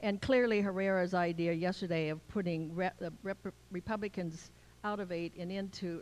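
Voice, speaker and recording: A woman with a medium pitch and a normal speaking voice talks at a moderate pace. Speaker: public commenter. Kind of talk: public comment. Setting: public meeting.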